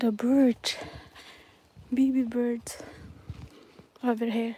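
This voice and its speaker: Soft-spoken, very slow, monotone delivery with flat intonation over noticeable background noise. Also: woman, high pitch for a woman. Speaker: nature live streamer. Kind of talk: live stream nature walk chat. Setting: outdoors in a forest.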